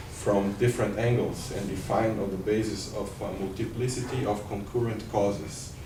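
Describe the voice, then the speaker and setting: With a non-native accent, a man speaks at a moderate pace in a fairly low pitch with ordinary pitch variation, amid noticeable background noise and audible room echo. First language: not English. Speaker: professor. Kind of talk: reading aloud.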